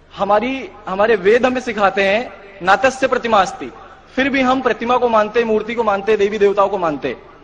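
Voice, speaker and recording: A man with an extremely high pitch and ordinary pitch variation talks over noticeable background noise. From eastern Uttar Pradesh, Kanpur. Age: 20s. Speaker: convert giving testimony. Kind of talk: testimony. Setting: conference hall with audience.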